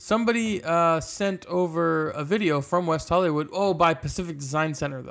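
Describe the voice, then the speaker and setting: Playful in tone, a man speaks at a high pitch. His pace is moderate. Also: ordinary pitch variation, hardly any pauses. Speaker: podcast co-host, film set background actor. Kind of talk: casual comedic chat. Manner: playful, laughs often.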